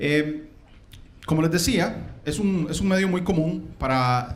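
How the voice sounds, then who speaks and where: A man with a Costa Rican accent, ordinary pitch variation and audible room echo. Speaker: conference speaker, systems engineer. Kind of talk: conference talk. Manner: hesitant, many fillers.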